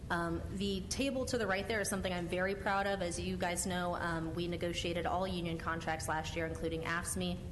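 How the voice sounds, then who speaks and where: With hardly any pauses, a woman with a fairly low pitch speaks at a fairly quick pace in very even loudness and fairly even intonation, with audible room echo. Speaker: city department director. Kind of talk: budget presentation to council committee. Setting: council committee hearing. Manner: fast.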